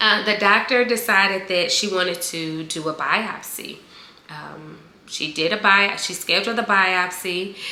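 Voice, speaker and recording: At a fairly slow pace and medium pitch, a woman speaks in an animated tone with ordinary pitch variation and big swings in loudness, with audible room echo around her. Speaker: video blogger sharing cancer journey. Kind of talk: casual vlog. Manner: animated, conversational.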